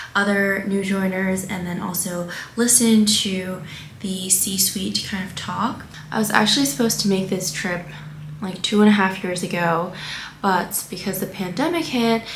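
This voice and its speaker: A woman's voice with fairly even intonation, light background noise and audible room echo. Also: moderate pace. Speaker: travel vlogger. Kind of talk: casual vlog chat. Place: home room. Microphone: camera far.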